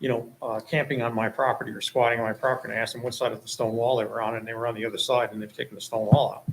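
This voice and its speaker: At a very fast pace, a man talks in a monotone, flat intonation at medium pitch. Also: hardly any pauses. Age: 60s. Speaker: property owner applicant. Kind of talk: public meeting testimony. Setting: town planning board meeting.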